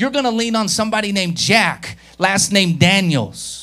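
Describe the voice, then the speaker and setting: A man speaking at a moderate pace. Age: 30s. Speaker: pastor. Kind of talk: Sunday sermon in a church service; revivalist altar call, preacher in full flow. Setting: church with live congregation. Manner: warm, urging, conversational.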